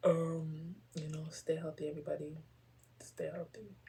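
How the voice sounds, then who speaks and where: Soft-spoken and somewhat breathy, a woman talks at a fairly slow pace in a fairly low pitch with a dark, mellow tone. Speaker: poetry podcaster. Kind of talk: casual chat. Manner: casual, filler-heavy.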